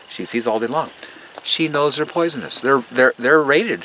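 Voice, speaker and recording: Lively intonation marks a man's fairly high voice, heard over noticeable background noise. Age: 60s. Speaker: gardener giving a garden tour. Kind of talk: guided tour talk to visitors. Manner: animated.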